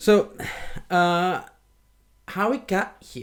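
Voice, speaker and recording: Here a man is speaking. His voice is high-pitched. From Venezuela. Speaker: podcast co-host. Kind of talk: casual chat.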